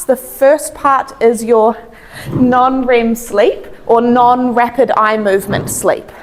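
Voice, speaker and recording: Speaking very slowly, a woman with a New Zealand accent has a high pitch and very even loudness. Noticeable background noise runs underneath. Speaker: chiropractor. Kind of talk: health talk. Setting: stage with audience.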